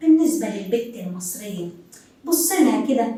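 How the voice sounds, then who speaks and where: A woman speaks with noticeable background noise and audible room echo around her. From Upper Egypt. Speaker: TV presenter. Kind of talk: TV talk show monologue.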